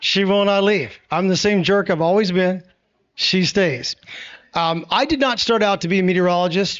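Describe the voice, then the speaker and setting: A man with a Tennessee accent and a high pitch. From Middle Tennessee. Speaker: TV meteorologist. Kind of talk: public talk. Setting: venue with live audience. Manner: animated.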